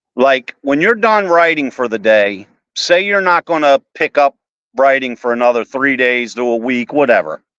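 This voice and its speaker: A man with a Baltimore accent, fairly high-pitched, with very wide pitch swings and a fairly slow pace, in a dry, close sound with no echo. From Baltimore, Maryland, US. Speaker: author. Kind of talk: casual chat.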